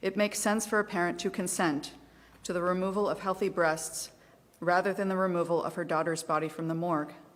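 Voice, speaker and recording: Speaking fairly quickly in a fairly low voice, a woman with a slight southeastern Ohio accent keeps a fairly even intonation. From US Midwest, southeastern Ohio. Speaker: advocacy group volunteer. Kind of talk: testimony. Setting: legislative committee hearing.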